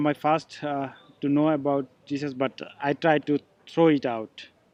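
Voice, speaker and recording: A man speaks with a Bangladeshi accent. His pitch is fairly high. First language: Bengali. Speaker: missionary candidate. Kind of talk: testimony. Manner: halting.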